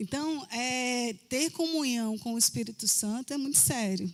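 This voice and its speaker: A woman speaks in an animated tone at a high pitch, with ordinary pitch variation. The recording is very clean and the background silent. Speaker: preacher. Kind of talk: sermon. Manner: conversational, animated.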